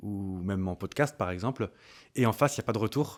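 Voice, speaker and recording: The recording is very clean, and the background is silent. A man talks with ordinary pitch variation. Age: 30s. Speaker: content creator and communications freelancer. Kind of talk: interview. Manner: hesitant, many fillers.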